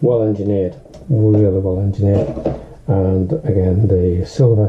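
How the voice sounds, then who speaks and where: The voice moves at a fairly slow pace with ordinary pitch variation. Noticeable background noise is present. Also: man. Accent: Northern English. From Northern England. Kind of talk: casual unboxing talk to camera.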